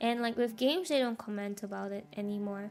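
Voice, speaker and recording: This woman's pitch sits fairly high. Her intonation is flat and monotone. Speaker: game streamer. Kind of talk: casual chat. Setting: livestream. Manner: loud when playing games.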